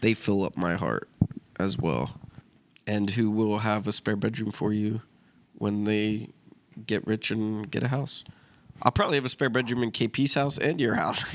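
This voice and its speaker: Pausing long and often, a man talks at a moderate pace in a fairly low voice with ordinary pitch variation. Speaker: podcast co-host. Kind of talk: casual chat. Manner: halting, delayed replies.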